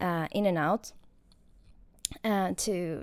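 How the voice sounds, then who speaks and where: Spoken with a non-native accent, the voice comes through a very clean recording with a silent background and a dry, close sound with no echo. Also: woman. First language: not English. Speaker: gaming streamer. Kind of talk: casual commentary over gameplay. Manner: hesitant, with frequent fillers and restarts.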